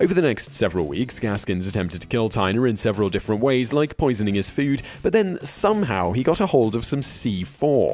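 A man's medium-pitched voice at a fairly quick pace, very wide pitch swings, hardly any pauses, and music in the background. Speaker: online video host. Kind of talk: factual list narration.

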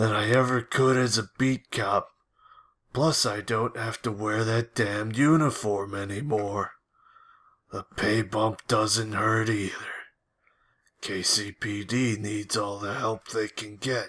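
A man does a raspy, put-on character voice at medium pitch and a fairly slow pace. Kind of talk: mock dramatic reading. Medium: game stream. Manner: deliberately monotone, deadpan.

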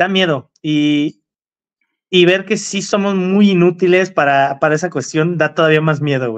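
A man with an unremarkable speaking voice, fairly high pitch and ordinary pitch variation at a moderate pace, against a quiet background. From Mexico. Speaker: car enthusiast livestream co-host. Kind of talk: casual livestream chat. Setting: live stream. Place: home room. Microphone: video call.

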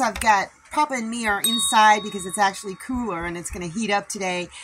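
The speaker talks at a fairly quick pace with music in the background. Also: woman. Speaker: homesteader vlogger. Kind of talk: casual vlog chat. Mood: cheerful, friendly. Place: home room. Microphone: phone near.

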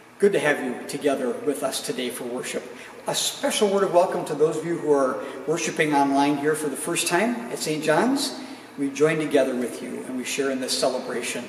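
A man talks at a fairly quick pace amid light background noise and audible room echo. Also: ordinary pitch variation. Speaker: pastor. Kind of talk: worship welcome and announcements. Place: church.

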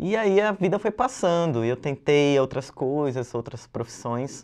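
Very wide pitch swings in a fairly high male voice at a moderate pace. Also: quiet background. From São Paulo, northern periphery (Zona Norte); São Paulo. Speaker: illustrator and graffiti artist teaching a workshop; workshop host. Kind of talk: video lesson presentation. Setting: studio. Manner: casual, relaxed. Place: studio. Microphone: lapel.

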